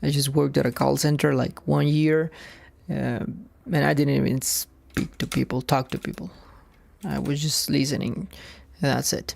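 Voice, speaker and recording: With a non-native accent, a woman speaks at a moderate pace, leaving long, frequent pauses. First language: not English. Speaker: software developer streaming coding. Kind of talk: live coding stream. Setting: live stream. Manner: halting, many repetitions and fillers.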